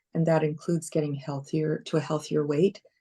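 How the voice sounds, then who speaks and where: With a Canadian accent, a woman speaks in a very deep, low pitch with a dark, mellow tone and a dry, close sound with no echo. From Canada, Toronto. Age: 60s. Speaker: comedian and retired broadcast journalist. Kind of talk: casual chat.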